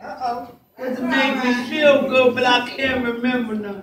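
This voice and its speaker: A woman speaks over light background noise, with audible echo from the room. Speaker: comedian playing a granny. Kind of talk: stand-up comedy monologue. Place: bar. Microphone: pa.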